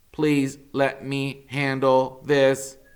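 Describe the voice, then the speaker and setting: A man puts on a character voice. It sits at a medium pitch with flat, monotone intonation. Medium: read story. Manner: calm, courteous.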